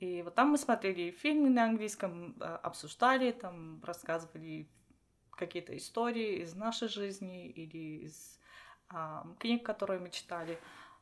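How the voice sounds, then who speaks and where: A woman's medium-pitched voice at a fairly slow pace, with lively intonation and big swings in loudness, on a very clean recording with a silent background. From Armenia, Vanadzor. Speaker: doctoral student and lecturer. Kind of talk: casual interview chat. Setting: in person, same room. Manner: halting.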